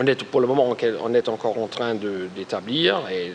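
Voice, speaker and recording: A man talks at a fairly slow pace with lively intonation. Noticeable background noise sits behind him. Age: 40s. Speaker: party representative, politician. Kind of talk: presentation to an audience. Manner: halting, with many repetitions.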